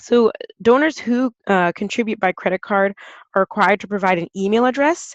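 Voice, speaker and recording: A woman talks at a fairly quick pace with ordinary pitch variation, and the sound is dry and close with no echo. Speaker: nonprofit program associate presenting a webinar. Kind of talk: webinar presentation. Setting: online webinar. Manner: fast.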